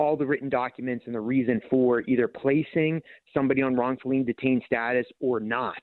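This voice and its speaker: The delivery moves at a moderate pace with fairly even intonation. It is a normal speaking voice. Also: man. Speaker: politician. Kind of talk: radio interview.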